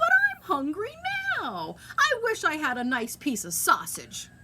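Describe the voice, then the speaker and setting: A high-pitched, put-on character voice moves along at a moderate pace. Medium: read story. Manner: meek, hesitant.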